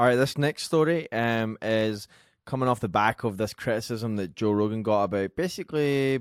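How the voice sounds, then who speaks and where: In a very clean recording with a silent background, a man with a Scottish accent talks with ordinary pitch variation. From Scotland. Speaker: podcast producer reading news. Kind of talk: casual chat.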